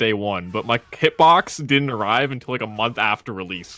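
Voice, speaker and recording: The recording is dry and close with no echo, capturing a normal speaking voice at a fairly quick pace. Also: man. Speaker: fighting game player. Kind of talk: casual chat. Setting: podcast. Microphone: close to the microphone.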